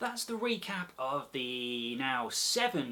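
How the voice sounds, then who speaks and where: A man speaks with an English accent and very wide pitch swings. Noticeable background noise sits behind him. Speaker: nature group leader. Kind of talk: educational talk. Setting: indoors at home. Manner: animated.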